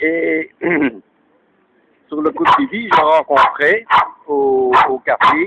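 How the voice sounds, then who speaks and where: A man's very slow speech, broken by long, frequent pauses. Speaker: elderly witness of WWII. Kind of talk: interview. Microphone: poor audio quality.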